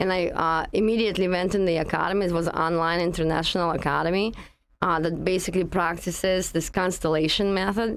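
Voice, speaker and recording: A woman with a Russian accent speaks at a medium pitch. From Russia (Russian Far East). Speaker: energy healing practitioner. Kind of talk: interview conversation.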